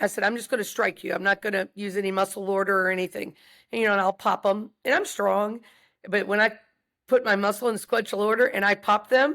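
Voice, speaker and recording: A very fast woman's voice with an American accent, medium pitch, fairly even intonation, and a very clean recording over a silent background. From US South. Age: 60s. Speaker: wrestling and fighting coach. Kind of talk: podcast interview.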